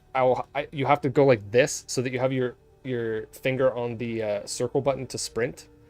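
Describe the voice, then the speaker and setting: Music sits in the background while a man speaks at a medium pitch. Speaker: video game streamer. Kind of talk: live gaming stream chat. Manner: fast; animated.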